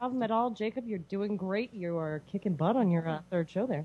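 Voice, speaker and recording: Talking at a fairly quick pace, a woman uses an unremarkable speaking voice. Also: medium pitch for a woman, ordinary pitch variation. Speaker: radio show host, guest.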